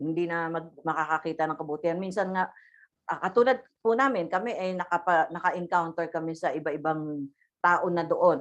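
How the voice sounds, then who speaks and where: Against a quiet background, a woman talks at a fairly quick pace, her fairly low pitch showing ordinary variation. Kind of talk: religious talk. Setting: video call. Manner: loud; halting.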